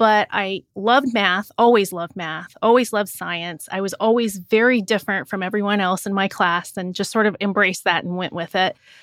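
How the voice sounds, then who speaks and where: Hardly pausing, a woman with a Midwestern American accent talks at a fairly quick pace in a medium pitch with fairly even intonation, on a very clean recording with a silent background and a dry, close sound with no echo. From rural Indiana, US Midwest. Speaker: engineering professor. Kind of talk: interview.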